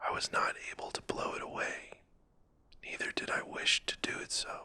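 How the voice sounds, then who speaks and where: Calm whispering over noticeable background noise. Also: moderate pace. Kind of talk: sleep story. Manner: whispered, calm, soft-spoken.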